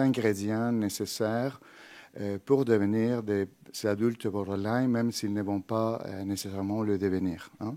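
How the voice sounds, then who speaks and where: In a Spanish accent, a man talks at a fairly slow pace with a fairly low pitch and a dark, mellow tone. The recording is very clean, with a silent background. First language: Spanish (speaking French). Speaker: psychology professor. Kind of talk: lecture. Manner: halting, many filler hesitations.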